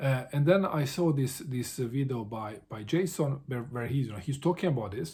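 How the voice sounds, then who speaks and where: Talking fairly quickly, a man has a somewhat breathy, dark, mellow tone. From Bosnia, small town. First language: Serbo-Croatian. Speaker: book vlogger. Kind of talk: casual vlog monologue. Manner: halting, many fillers and repetitions.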